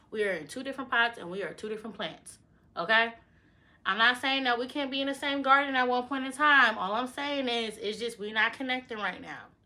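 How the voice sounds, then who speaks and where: A woman's high-pitched voice, bright and sharp in tone, at a fairly quick pace. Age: 20s. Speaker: lifestyle vlogger. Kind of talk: casual advice vlog. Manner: animated.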